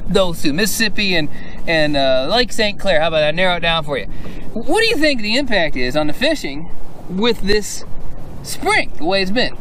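Recorded dry with no echo, a man speaks over light background noise. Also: moderate pace. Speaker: fishing show host. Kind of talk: interview question and show intro. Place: boat.

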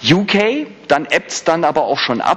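Noticeable background noise runs behind a man speaking at a fairly slow pace. His tone is animated. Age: 40s. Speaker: HR manager. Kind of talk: conference talk. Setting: stage with audience.

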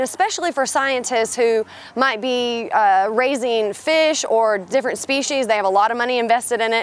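A high-pitched woman at a moderate pace, with a dry sound that has no echo. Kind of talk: interview answer. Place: waterside.

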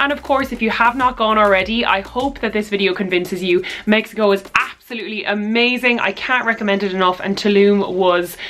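Barely pausing, a woman speaks at a very fast pace with ordinary pitch variation. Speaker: fashion vlogger. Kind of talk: casual vlog outro. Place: home room. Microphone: camera far.

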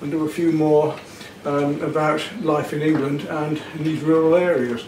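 Light background noise and audible room echo surround a man's speech. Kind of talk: tutorial. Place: home room. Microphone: camera far.

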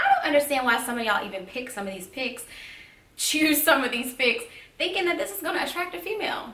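A woman speaks in a raised, projected voice. Room echo is audible. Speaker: vlogger. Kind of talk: casual vlog advice chat. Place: home room. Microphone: camera far.

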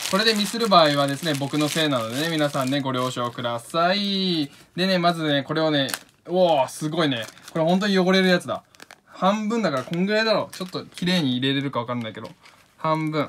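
With noticeable background noise, a man speaks at a fairly quick pace in a fairly high pitch with lively intonation. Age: 20s. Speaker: painter and video creator. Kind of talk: casual craft tutorial vlog. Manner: animated.

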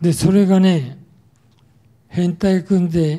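A man speaks at a very slow pace, his voice pitched high with a dark, mellow tone. The background stays quiet. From Tokyo (Yotsuya); Tokyo. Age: 80s+. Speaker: war survivor speaker; wartime experience lecturer. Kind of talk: testimony. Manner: casual, frequent filler particles ね. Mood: calm reminiscing. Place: hall. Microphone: handheld.

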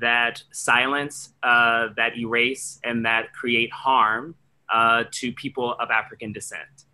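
With an American accent, a man talks very slowly in a flat monotone at medium pitch. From Washington DC. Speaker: theatre artistic director. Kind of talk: panel discussion. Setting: video call. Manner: halting. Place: home room. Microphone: video call.

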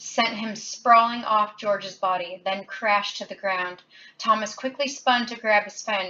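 The clip features a natural reading voice. It is read aloud.

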